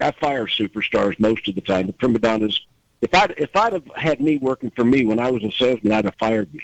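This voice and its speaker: A man with a plain, everyday voice speaks at a medium pitch and a fairly quick pace. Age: 60s. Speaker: auto industry executive. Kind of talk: panel discussion.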